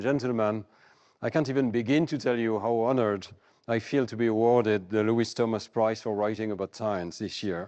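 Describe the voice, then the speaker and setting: This man has a French accent and a medium pitch, with fairly even intonation. He talks at a moderate pace against a quiet background. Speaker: cognitive psychologist, prize winner. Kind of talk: award acceptance lecture. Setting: stage with audience. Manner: formal.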